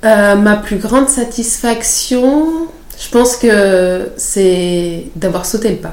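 Over noticeable background noise and audible room echo, a woman with a fairly high pitch speaks at a very slow pace, her loudness swinging widely. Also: ordinary pitch variation. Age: 30s. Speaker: nurse turned lymphatic drainage therapist. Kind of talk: interview.

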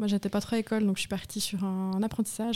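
This voice has a dark, mellow tone and a monotone, flat intonation. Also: woman. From Switzerland, canton of Vaud. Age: 30s. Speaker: grocery network co-founder. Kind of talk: interview conversation. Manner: hesitant, many fillers.

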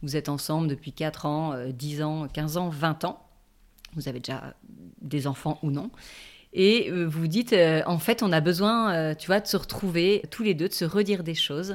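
Here is a woman with an unremarkable speaking voice, fairly low in pitch, with ordinary pitch variation and a fairly slow pace. The recording is very clean, with a silent background. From southern France (Toulon). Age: 40s. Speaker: relationship coach. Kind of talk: interview.

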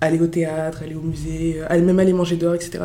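Noticeable background noise and audible room echo around a woman's fairly low voice at a moderate pace. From Paris eastern suburbs (Montreuil, 93). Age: 20s. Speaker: student, association public relations director. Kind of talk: casual interview.

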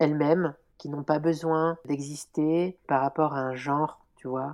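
A woman speaks with a very deep, low pitch and a dark, mellow tone, at a fairly slow pace with monotone, flat intonation. The recording is very clean, with a silent background. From France. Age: 30s. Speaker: artist. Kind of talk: interview.

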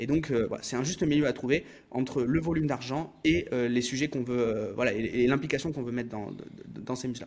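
A man speaks at a medium pitch. His pace is fairly quick, with ordinary pitch variation. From France, Bordeaux. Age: 30s. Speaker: entrepreneur and business coach. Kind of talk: interview. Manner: halting.

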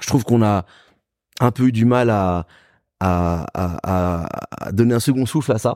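A man's fairly low voice with a dark, mellow tone, ordinary pitch variation and a fairly slow pace broken by long, frequent pauses, in a very clean, dry, close recording with a silent background and no echo. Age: 30s. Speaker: journalist and DJ. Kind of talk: casual interview chat. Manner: casual, halting with repetitions.

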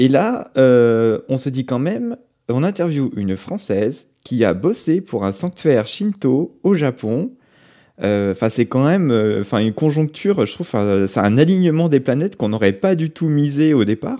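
A medium-pitched man's voice, dark and mellow, with very wide pitch swings, on a very clean recording over a silent background. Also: moderate pace. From France. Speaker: travel podcast co-host. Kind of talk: casual podcast chat.

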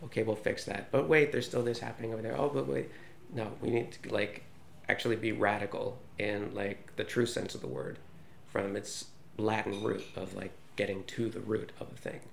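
Over audible room echo, a man with an American accent talks at a fairly quick pace and fairly low pitch, with vocal fry and lively intonation. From United States. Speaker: journalist. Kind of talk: interview answers.

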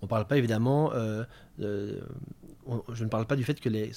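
Heard in a very clean recording with a silent background, a man speaks at a medium pitch in a dark, mellow tone. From Belgium, Namur. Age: 30s. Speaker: retail sustainability manager. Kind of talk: interview. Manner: halting, many fillers and repetitions.

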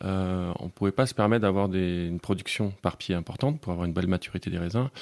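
Speaking at a moderate pace, a man with a very deep, low voice shows ordinary pitch movement in a very clean recording where the background is silent. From Bergerac, southwest France. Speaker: winemaker. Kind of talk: interview.

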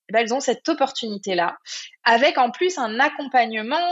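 High-pitched female speech full of very wide pitch swings. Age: 30s. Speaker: entrepreneur and life coach. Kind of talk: casual interview. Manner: hesitant, many fillers.

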